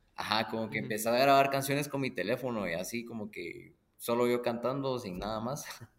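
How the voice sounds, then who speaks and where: A man talks at a very fast pace, with audible echo in the room. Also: medium pitch for a man, ordinary pitch variation. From Guatemala. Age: 20s. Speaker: musician. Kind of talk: casual chat.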